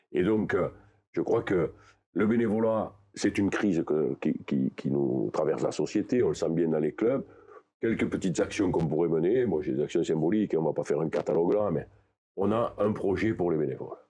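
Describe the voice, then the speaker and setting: At a moderate pace, a man talks over music in the background. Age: 60s. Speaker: candidate for regional rugby league president. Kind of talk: interview.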